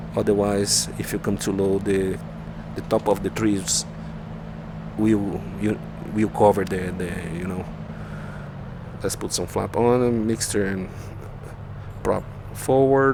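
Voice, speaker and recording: Pausing long and often, a man speaks with a Brazilian accent over noticeable background noise. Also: fairly slow pace. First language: Portuguese. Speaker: flight simulator YouTuber. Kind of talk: gameplay tutorial. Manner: halting.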